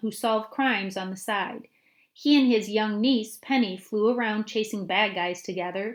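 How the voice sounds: Heard here is a natural reading voice with ordinary pitch variation.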